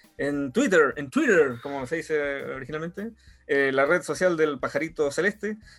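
The pace stays moderate and the pitch varies in an ordinary way. The speaker is a man with a fairly high pitch. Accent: Chilean. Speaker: podcast host. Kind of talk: casual chat.

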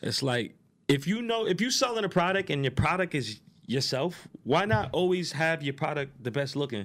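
A man at a fairly high pitch with a New York accent, very wide pitch swings, and a moderate pace, in a very clean recording with a silent background. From New York, Queens. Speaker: strip club promoter. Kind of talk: casual chat.

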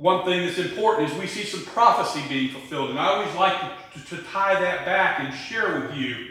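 The clip is plain reading aloud.

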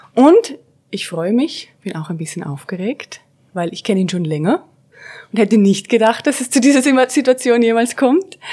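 With very wide pitch swings, a woman speaks at a moderate pace in a fairly high, dark and mellow voice. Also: big swings in loudness. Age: 30s. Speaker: podcast host and consultant. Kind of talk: interview.

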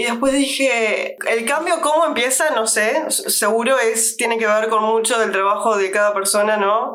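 A woman in a Rioplatense accent speaks at a fairly slow pace with a fairly high pitch and hardly any pauses. Her loudness stays very even, and room echo is audible. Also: ordinary pitch variation. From Uruguay. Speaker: podcast host. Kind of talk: casual chat.

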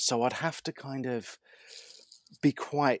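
This man's intonation stays fairly even, and the sound is dry and close with no echo. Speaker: talent agent and actor. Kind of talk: casual interview. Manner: articulate, hesitant with fillers.

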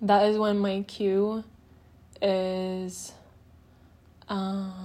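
Speaking very slowly with long, frequent pauses, a woman at medium pitch keeps a monotone, flat intonation amid audible room echo. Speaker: solo podcast host. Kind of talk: casual monologue. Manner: loud.

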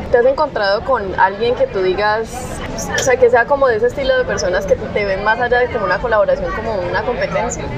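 Very fast female speech, fairly high in pitch, ordinary in pitch variation, amid noticeable background noise. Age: 20s. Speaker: podcast host. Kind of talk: casual interview. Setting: outdoor café terrace.

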